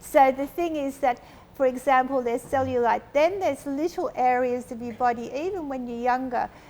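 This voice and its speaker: Over noticeable background noise, a woman talks at a moderate pace in a high pitch that varies in an ordinary way. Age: 70s. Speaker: aesthetic doctor. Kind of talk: panel discussion.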